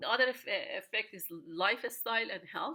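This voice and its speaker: A woman's fairly high, bright, sharp voice at a fairly slow pace, with ordinary pitch variation. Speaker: economics professor. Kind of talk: lecture. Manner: halting, many fillers.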